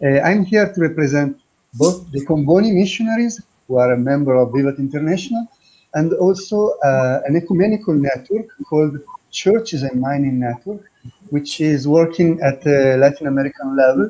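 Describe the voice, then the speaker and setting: Speaking at a moderate pace, a man uses lively intonation and a fairly high pitch. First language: not English. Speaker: missionary priest. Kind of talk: presentation. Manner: halting.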